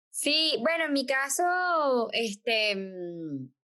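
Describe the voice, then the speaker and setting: Speaking at a very slow pace, a woman with a strong Caracas accent uses a high pitch, very wide pitch swings and a bright, sharp tone. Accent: strong Caracas Venezuelan. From Venezuela, Caracas. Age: 40s. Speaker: podcast co-host, dentist. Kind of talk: casual chat.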